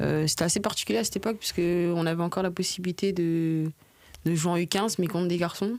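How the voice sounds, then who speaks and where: Very fast and very even in loudness, a woman's fairly low voice keeps a fairly even intonation. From Paris region, Seine-et-Marne. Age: 20s. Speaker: professional football player. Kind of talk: podcast interview.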